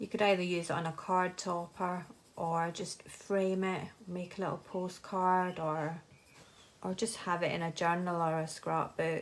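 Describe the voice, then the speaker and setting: A woman speaks with monotone, flat intonation and a fairly low pitch. Her pace is fairly slow. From Scotland. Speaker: craft artist and illustrator. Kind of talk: live craft tutorial. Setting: live stream. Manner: relaxed.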